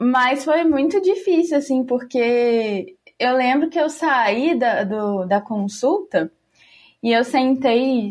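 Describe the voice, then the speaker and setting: Over a quiet background, the voice makes very wide pitch swings. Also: woman. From Juiz de Fora, Minas Gerais, Brazil. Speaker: podcast finance manager. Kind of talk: casual group chat.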